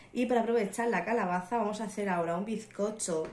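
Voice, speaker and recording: With ordinary pitch variation, a woman talks in a space with audible room echo. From Murcia, Spain. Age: 20s. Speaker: mother and home cook vlogger. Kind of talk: casual talk to camera. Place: kitchen. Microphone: phone near.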